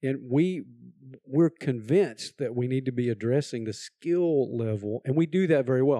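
At a moderate pace, a man with a Texan accent talks at a medium pitch with ordinary pitch variation and a dark, mellow tone. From Texas. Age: old. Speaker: community college president. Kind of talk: interview.

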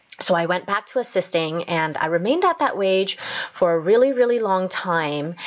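With a Canadian accent and a normal speaking voice, a woman talks at medium pitch and a moderate pace, her intonation lively. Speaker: podcast host and dental assistant. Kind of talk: motivational solo podcast talk.

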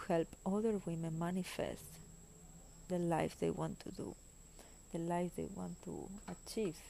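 A woman's medium-pitched voice with a dark, mellow tone, fairly even intonation and a Spanish accent. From Spain. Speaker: spiritual podcaster. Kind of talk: personal monologue. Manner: hesitant, frequent fillers.

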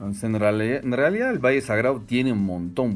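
Ordinary pitch variation marks a man's fairly low-pitched voice. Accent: French. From France, Strasbourg. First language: French (speaking Spanish). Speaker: hotel general manager. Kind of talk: interview.

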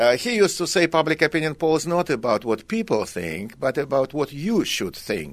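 A man with a Russian accent speaks at a moderate pace in a fairly high voice, his pitch swinging very widely. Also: hardly any pauses. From Russia (Kazan, Tatarstan). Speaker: economics professor. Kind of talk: radio interview. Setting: radio studio.

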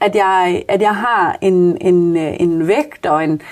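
Medium female pitch with ordinary pitch variation, from a woman. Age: 30s. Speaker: social worker. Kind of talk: casual interview. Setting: small conversation booth at workplace. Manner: hesitant, many fillers.

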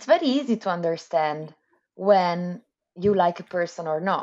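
Her tone dark and mellow, a woman talks at a moderate pace with very wide pitch swings. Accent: Italian. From Italy, Milan. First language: Italian. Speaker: economist, postdoctoral researcher. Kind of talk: interview.

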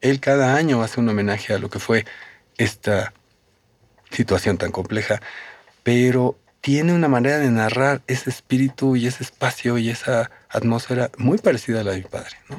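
A man with an unremarkable speaking voice talks moderately, his medium pitch varying in an ordinary way. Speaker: filmmaker. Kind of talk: interview.

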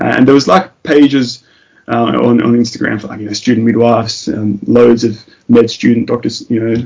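A man's medium-pitched voice with an Australian accent, at a fairly quick pace. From Tasmania, Australia. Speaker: paramedic. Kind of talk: interview.

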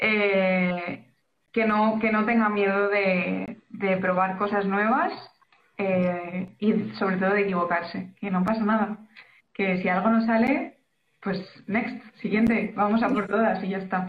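A woman speaks at a very slow pace in a medium-pitched, somewhat breathy voice with fairly even intonation. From Valencia region, Spain. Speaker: illustrator and graphic designer. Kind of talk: casual chat.

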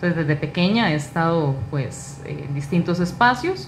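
A woman speaks with a Costa Rican accent and lively intonation. Room echo is audible around her voice. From Costa Rica, Alajuela (Naranjo). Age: 30s. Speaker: political candidate. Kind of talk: interview.

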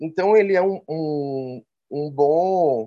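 A man with a Recife accent, fairly high pitch and a dark, mellow tone. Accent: Recife accent, noticeable. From Recife, northeastern Brazil. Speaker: biology teacher and animal-assisted therapist. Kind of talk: casual interview.

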